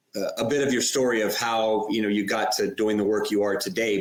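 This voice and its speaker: Over noticeable background noise, a man with a medium pitch talks at a fairly quick pace with ordinary pitch variation. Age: 50s. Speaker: podcast host. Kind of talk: podcast interview. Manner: scripted reading.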